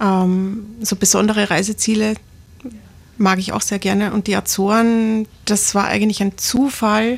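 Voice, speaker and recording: A woman at medium pitch, fairly slow, in a flat, monotone delivery. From Lower Austria, near St. Pölten. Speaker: master tailor and fashion designer. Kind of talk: radio interview.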